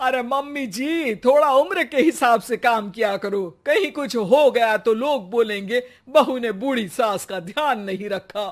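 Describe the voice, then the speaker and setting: In a loud, shrill, put-on character voice, the speaker pitches fairly high with lively intonation at a moderate pace. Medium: cartoon.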